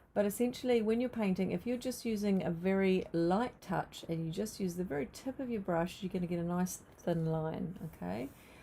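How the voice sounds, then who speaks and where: With a New Zealand accent, a woman speaks in a dark, mellow, somewhat breathy tone at medium pitch, using ordinary pitch variation, a moderate pace and hardly any pauses. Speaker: art teacher. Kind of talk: live painting tutorial. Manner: casual, hesitant with fillers.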